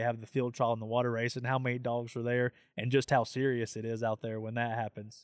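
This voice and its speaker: Here a man with a Southern US accent talks at medium pitch in a flat, monotone way. The background is quiet, and the sound is dry and close with no echo. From Tennessee. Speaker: podcast host and hunting program manager. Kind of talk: casual interview. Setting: on location at an outdoor event.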